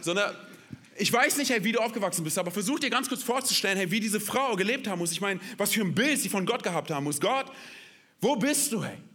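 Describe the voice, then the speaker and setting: With audible room echo, a man uses a raised, projected voice that is animated and energetic, bright and sharp in tone, high in pitch and very fast. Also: lively intonation. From Berlin, Germany. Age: 30s. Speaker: guest pastor. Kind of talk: sermon. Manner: animated, energetic.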